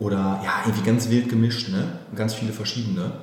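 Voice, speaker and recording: Over noticeable background noise and audible room echo, a man talks at a medium pitch with ordinary variation. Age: 30s. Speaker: company managing director. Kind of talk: interview.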